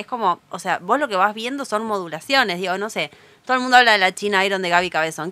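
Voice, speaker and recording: A woman speaks at a medium pitch. Her tone is bright and sharp, with lively intonation. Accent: Rioplatense. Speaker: writer and bookseller. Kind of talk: casual interview chat.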